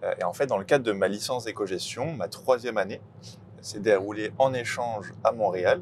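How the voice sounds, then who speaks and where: Medium pitch, a moderate pace, ordinary pitch variation and a plain, everyday voice, all from a man. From Île-de-France, France. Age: 20s. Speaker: sports club ticketing manager. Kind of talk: casual interview.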